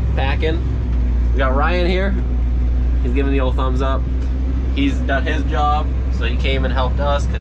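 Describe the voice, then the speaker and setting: A man speaks at a moderate pace. Loud noise fills the background. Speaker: farm worker vlogger. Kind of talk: casual vlog chat. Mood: relaxed, laughing. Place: farm machine. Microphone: phone near.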